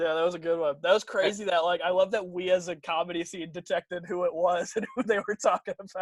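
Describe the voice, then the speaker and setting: Talking at a very fast pace in a high voice with a Michigan accent, a man is recorded with a dry, close sound and no echo. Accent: Midwestern American (Michigan). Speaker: stand-up comedian. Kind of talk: casual chat.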